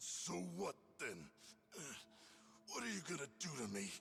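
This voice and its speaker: A raspy, put-on character voice from a man at medium pitch, with very wide pitch swings, very even loudness and a moderate pace over clear background noise. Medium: video game. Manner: rough, brash.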